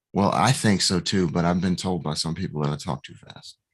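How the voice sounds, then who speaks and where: Using a very deep, low pitch with vocal fry, a man speaks with ordinary pitch variation. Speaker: podcast host. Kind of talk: casual chat. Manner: fast.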